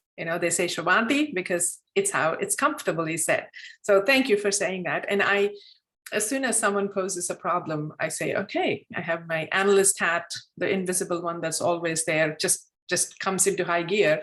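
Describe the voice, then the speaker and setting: A woman talks at medium pitch with ordinary pitch variation. Her pace is fairly quick. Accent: Telugu. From India. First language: Telugu. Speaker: club mentor and former district leader. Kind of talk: online meeting discussion.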